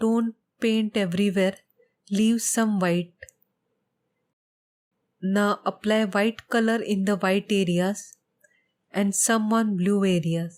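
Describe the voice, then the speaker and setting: A soft-spoken woman's medium-pitched voice, monotone and flat, very slow, at very even loudness, with long, frequent pauses. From India. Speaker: painter. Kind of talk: tutorial voiceover.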